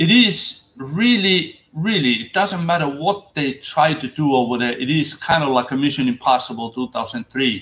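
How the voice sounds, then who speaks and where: A man with a Finnish accent, bright and sharp in tone, at a moderate pace with lively intonation and hardly any pauses. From Finland. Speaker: seaman and ocean activist; former seaman vlogger. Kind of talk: solo monologue to camera. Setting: livestream. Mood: earnest, opinionated. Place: home room. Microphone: webcam.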